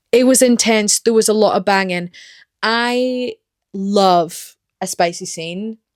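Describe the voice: A woman's medium-pitched voice at a slow pace, dry and close with no echo, in a very clean recording with a silent background. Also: ordinary pitch variation.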